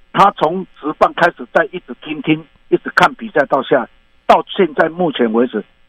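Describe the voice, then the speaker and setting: A man with a Taiwanese accent speaks at a moderate pace and a fairly high pitch. His voice makes very wide pitch swings. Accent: Taiwanese Mandarin. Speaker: baseball commentator and coach. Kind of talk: interview. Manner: halting.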